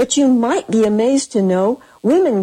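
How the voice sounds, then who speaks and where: A woman speaks in an American accent. Her tone is dark and mellow. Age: 70s. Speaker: poet. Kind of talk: reading aloud. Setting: studio.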